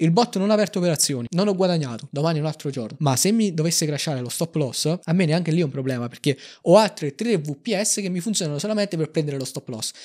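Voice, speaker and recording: This man speaks very fast, his pitch fairly high. His intonation is lively. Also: quiet background. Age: 20s. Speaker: algorithmic trader; guest. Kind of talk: interview. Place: studio. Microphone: studio mic.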